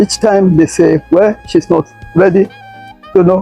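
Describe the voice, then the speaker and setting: The speaker goes at a fairly slow pace over background music. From Nigeria. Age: 80s+. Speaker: retired educator. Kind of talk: interview.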